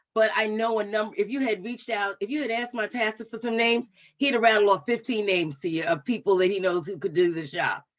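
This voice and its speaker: Delivered at a very fast pace with hardly any pauses, the voice carries a New York accent and ordinary pitch variation. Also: woman, fairly high pitch for a woman. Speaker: commission member. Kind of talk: public meeting discussion.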